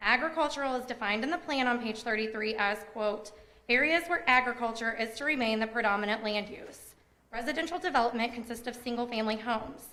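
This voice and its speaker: A woman speaks at a very fast pace in a high pitch with an Indiana accent. Noticeable background noise runs under her voice. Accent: Midwestern US (Indiana). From Indiana, Tipton County. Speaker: resident speaking at public hearing. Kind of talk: prepared public comment. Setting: public zoning board meeting. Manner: formal.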